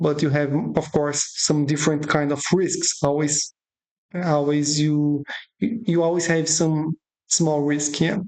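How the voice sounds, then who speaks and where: Delivered at a very slow pace, the speech has a non-native accent, very even loudness and fairly even intonation. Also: woman, very deep, low pitch for a woman. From Brazil. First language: Portuguese. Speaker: options trading educator. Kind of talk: tutorial. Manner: halting.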